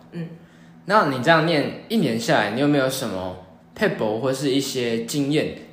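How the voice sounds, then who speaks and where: A man's voice swings very widely in pitch amid audible room echo. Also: medium pitch for a man, moderate pace. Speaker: podcast host. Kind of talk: interview.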